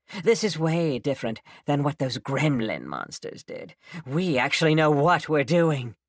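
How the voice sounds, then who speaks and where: In a very clean recording with a silent background, a man uses a put-on character voice at a fairly high pitch and a moderate pace. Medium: read story. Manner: eager, scheming.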